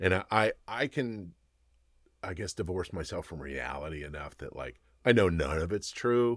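A man with a very deep, low pitch and vocal fry speaks at a moderate pace with lively intonation. His loudness swings widely on a very clean recording with a silent background. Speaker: cannabis business owner. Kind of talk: casual podcast interview.

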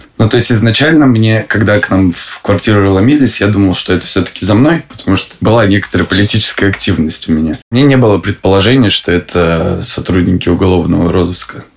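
Against noticeable background noise, a man rattles along at a very fast pace with hardly any pauses, his fairly low pitch showing ordinary variation. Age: 20s. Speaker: husband of a political prisoner. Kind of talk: interview.

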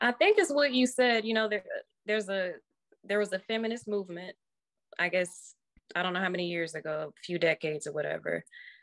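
Talking at a fairly quick pace, a woman uses lively intonation at a medium pitch. Her speech has long, frequent pauses. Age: 20s. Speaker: caller. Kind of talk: call-in discussion.

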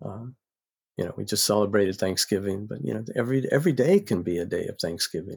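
With an American accent and vocal fry, a man speaks very fast at a fairly low pitch with ordinary pitch variation, in a very clean recording with a silent background. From US South, North Carolina. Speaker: psychology professor and author. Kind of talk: podcast interview.

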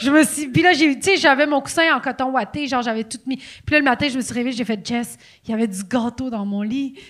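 A woman talks at a fairly quick pace in a high pitch. Her pitch variation is ordinary. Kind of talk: casual chat. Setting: stage with audience.

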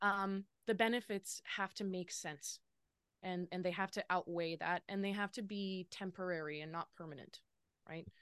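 A woman with a Western Canadian accent speaks at a moderate pace and medium pitch. Her intonation is fairly even against a quiet background. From Lower Mainland, British Columbia, Canada. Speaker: business consultant. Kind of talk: interview.

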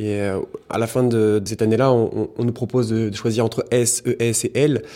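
A man speaks at a medium pitch in a dark, mellow tone, his intonation fairly even. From Burgundy, France. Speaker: cellar master's assistant. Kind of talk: casual interview. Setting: wine cellar. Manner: fast.

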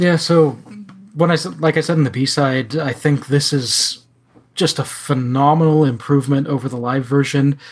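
Somewhat breathy and fairly high-pitched, a man speaks at a moderate pace with fairly even intonation. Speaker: podcast co-host. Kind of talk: casual chat.

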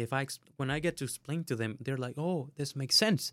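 A man's medium-pitched voice with a Spanish accent, moderate pace and ordinary pitch variation, on a very clean recording with a silent background. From Honduras. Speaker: student mentor. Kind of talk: interview. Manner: halting.

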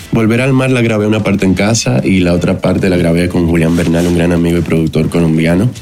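A man with a very deep, low pitch and ordinary pitch variation, talking at a very fast pace with hardly any pauses and very even loudness over music in the background. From Dominican Republic. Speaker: musician. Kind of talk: casual chat.

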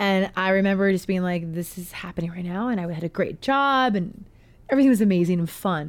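A woman with an American accent has an unremarkable speaking voice at a medium pitch. She talks at a fairly quick pace with ordinary pitch variation in a very clean recording with a silent background. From US West Coast, Portland. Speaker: music therapist. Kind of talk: casual chat. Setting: studio.

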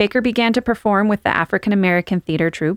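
A woman with a plain, everyday voice talks at a fairly quick pace with lively intonation, the sound dry and close with no echo on a very clean recording with a silent background. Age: 40s. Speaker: podcast host. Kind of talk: history storytelling, partly read from notes.

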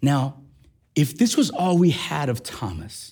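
A somewhat breathy, animated, energetic male voice, fairly high in pitch, with very wide pitch swings. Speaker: preacher. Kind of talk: sermon. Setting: church. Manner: animated, energetic preaching; call-and-response, prompting congregation.

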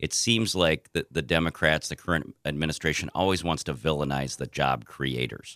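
With an American accent, a man speaks in a very deep, low pitch with a bright, sharp tone, vocal fry, ordinary pitch variation and hardly any pauses, in a dry, close sound with no echo. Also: moderate pace. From southern Minnesota, US. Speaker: political candidate and agriculture lawyer. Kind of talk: interview. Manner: halting.

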